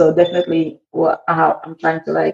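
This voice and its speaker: A woman speaks with a fairly low pitch and vocal fry. Her intonation is monotone and flat. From Haiti, Port-au-Prince. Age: 20s. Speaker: immigrant interviewee. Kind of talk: casual interview.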